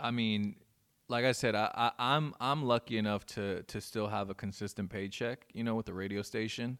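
On a very clean recording with a silent background, a man in a normal speaking voice talks at a moderate pace and medium pitch with fairly even intonation, dry and close with no echo. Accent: American. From Inland Empire, California. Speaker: DJ. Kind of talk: casual chat. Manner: laid-back, slangy.

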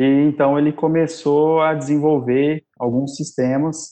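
A man at a very slow pace, his intonation fairly even. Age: 20s. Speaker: software project lead. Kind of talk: casual chat.

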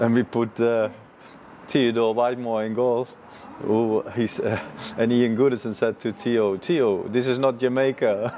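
Against noticeable background noise, a man speaks at a fairly slow pace in a monotone, flat intonation. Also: medium pitch for a man. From Netherlands. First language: Dutch. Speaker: football goalkeeper coach. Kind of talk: interview. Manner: halting.

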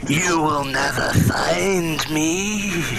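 A put-on character voice at a middle pitch over loud background noise. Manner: menacing, ominous.

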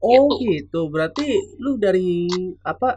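Here a man talks at a high pitch. His pitch swings very widely. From Bekasi, Indonesia. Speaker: podcast host. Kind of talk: casual chat. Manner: animated.

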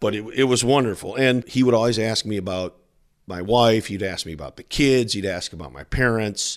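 A man with an American accent and an ordinary speaking voice, medium pitch with ordinary pitch variation, big swings in loudness, and a fairly quick pace. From South Bend, Indiana. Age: 60s. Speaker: television sports broadcaster. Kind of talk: interview.

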